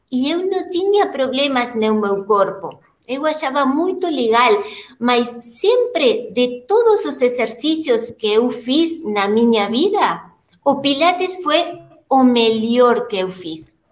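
The delivery is very slow, with very wide pitch swings. Room echo is audible. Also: woman, high pitch for a woman. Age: 50s. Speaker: Pilates instructor and studio owner. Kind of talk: interview.

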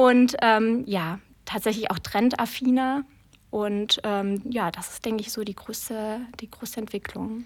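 A woman speaks at a fairly slow pace with fairly high pitch. Her intonation stays fairly even while her loudness swings a lot. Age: 30s. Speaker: wedding planner. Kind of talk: interview.

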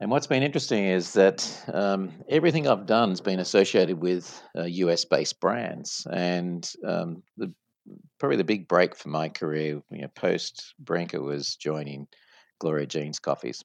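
Spoken at a moderate pace with lively intonation and an Australian accent, the voice sounds dry and close with no echo. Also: man, very deep, low pitch for a man. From Sydney, Australia. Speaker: franchise company executive. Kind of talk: interview.

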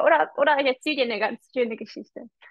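The woman's voice sits high in pitch. She speaks at a fairly quick pace. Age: 30s. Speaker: marketing coach. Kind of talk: casual interview.

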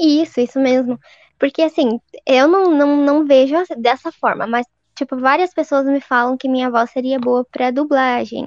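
A woman's high voice in a strong southern Paraná accent, fairly slow, with fairly even intonation. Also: dry, close sound with no echo. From southern Paraná, Brazil. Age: 20s. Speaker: civil servant. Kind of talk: casual chat.

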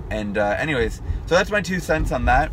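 Noticeable noise runs in the background. A man talks over it. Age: 20s. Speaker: podcast host and hockey goalie YouTuber. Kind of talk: casual solo monologue. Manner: conversational with filler words.

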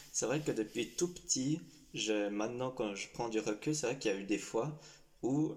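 A man with ordinary pitch variation. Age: 19. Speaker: young LGBT association member. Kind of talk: personal testimony interview. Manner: hesitant, many fillers.

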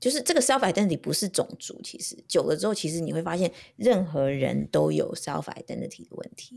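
At a fairly quick pace, a woman gets her words out. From Taiwan (Taipei). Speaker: podcast co-host, mother. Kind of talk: casual chat.

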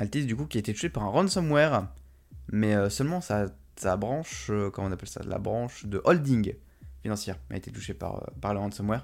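The voice moves at a fairly quick pace with very wide pitch swings. The recording is very clean, with a silent background. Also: man, fairly low pitch for a man. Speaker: tech podcast host. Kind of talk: casual news roundup. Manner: hesitant, many fillers.

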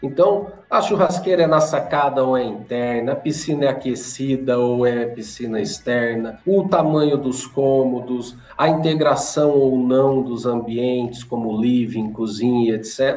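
Amid noticeable background noise, a man at a medium pitch talks at a fairly slow pace with hardly any pauses and ordinary pitch variation. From Londrina, Paraná, Brazil. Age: 40s. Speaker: real estate executive. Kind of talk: interview.

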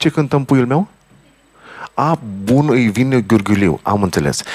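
Recorded with a dry, close sound and no echo, a man speaks with very wide pitch swings. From Romania, Bucharest (Rahova). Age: 50s. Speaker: accordionist, band leader. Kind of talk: interview chat between songs.

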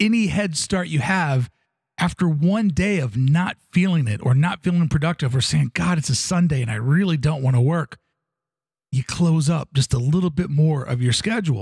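Here is a man with a normal speaking voice, a fairly high pitch, and lively intonation. He goes at a moderate pace with very even loudness, in a dry, close sound with no echo. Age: 40s. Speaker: podcaster. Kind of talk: personal monologue.

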